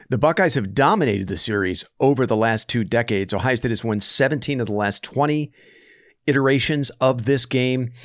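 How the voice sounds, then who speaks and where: A man with an unremarkable speaking voice at a medium pitch, ordinary pitch variation and a fairly quick pace, in a dry, close sound with no echo. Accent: American. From US West Coast. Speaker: podcast host. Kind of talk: casual sports podcast chat. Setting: remote recording.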